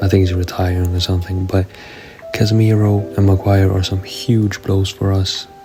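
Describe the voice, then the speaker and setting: Music plays in the background as the speaker goes on at a moderate pace in a flat monotone. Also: man. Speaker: gaming youtuber. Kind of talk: video game commentary. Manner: casual, conversational.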